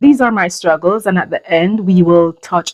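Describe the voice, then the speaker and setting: A woman talks at a moderate pace with a Jamaican accent and ordinary pitch variation. The sound is dry and close, with no echo. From Jamaica, rural countryside. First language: Jamaican Patois. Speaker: YouTuber. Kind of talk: personal vlog. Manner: halting.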